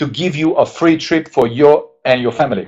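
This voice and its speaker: Speaking with a Hungarian accent, a man in a fairly high pitch sounds enthusiastic. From Hungary. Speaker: network marketing distributor. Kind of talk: sales pitch. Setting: webinar.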